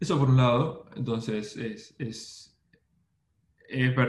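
Speaking in an Argentine accent, a man keeps a medium pitch and fairly even intonation. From Argentina, Buenos Aires. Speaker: SEO specialist. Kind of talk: interview. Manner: halting with repetitions.

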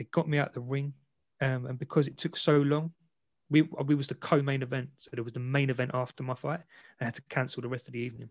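Somewhat breathy, medium-pitched male voice with a London accent, fairly quick and fairly even in intonation, over a quiet background. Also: dry, close sound with no echo. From London, England. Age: 30s. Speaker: ex semi-professional boxer and content creator. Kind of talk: interview conversation.

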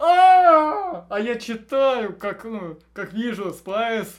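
Lively intonation gives the speech an animated tone. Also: man. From Russia, Belgorod region (Shebekino). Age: 20s. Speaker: programmer. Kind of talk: casual chat.

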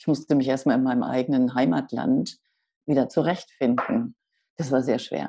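A woman's very deep, low voice with a dark, mellow tone, ordinary pitch variation and a moderate pace. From Hamburg, northern Germany. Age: 60s. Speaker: author. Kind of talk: interview.

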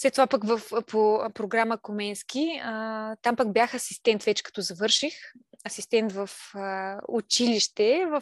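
Against a quiet background, a woman speaks at a fairly slow pace and a fairly high pitch. The sound is dry and close with no echo, and her pitch varies in an ordinary way. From Bulgaria, Silistra region. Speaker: stay-at-home mother and craft maker. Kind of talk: casual interview.

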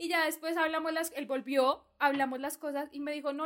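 High-pitched woman at a moderate pace. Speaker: podcast co-host, university student. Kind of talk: casual chat.

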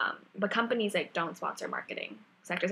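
A woman is speaking. Her pace is moderate. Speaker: podcast co-host. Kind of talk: casual chat. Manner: loud.

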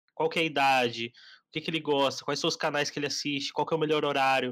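At a fairly quick pace, a plain, everyday voice comes through on a very clean recording with a silent background. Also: man. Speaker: podcast host and marketing agency founder. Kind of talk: casual chat.

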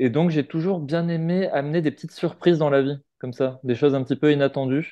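Talking at a fairly quick pace, a man with a fairly high pitch has a dark, mellow tone and fairly even intonation. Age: 40s. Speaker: founder of a personal-growth community, energy therapist. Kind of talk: casual interview. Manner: hesitant, many fillers.

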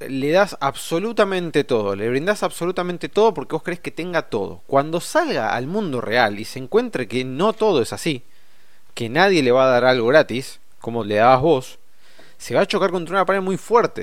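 Recorded very cleanly against a silent background, a man speaks at a moderate pace. His pitch swings very widely. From Argentina. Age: 30s. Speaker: podcast host, financial educator. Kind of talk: solo podcast monologue. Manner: casual, with fillers.

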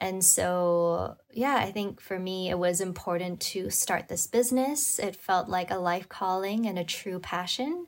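Speaking with hardly any pauses, a woman at medium pitch has a Cantonese accent and ordinary pitch variation, in a very clean recording with a silent background. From Hong Kong. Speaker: wellness coach and sound healer. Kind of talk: casual interview.

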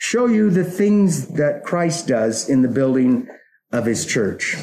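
Very slowly, a man speaks in a dark, mellow tone with very wide pitch swings, and audible room echo surrounds him. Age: 40s. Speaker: pastor. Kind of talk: sermon.

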